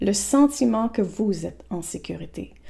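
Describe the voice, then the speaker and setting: The voice is somewhat breathy, with a dark, mellow tone and lively intonation. It moves at a fairly slow pace. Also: woman. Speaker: therapist selling an online program. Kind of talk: informal program presentation to camera. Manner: casual, with frequent self-corrections and repetitions.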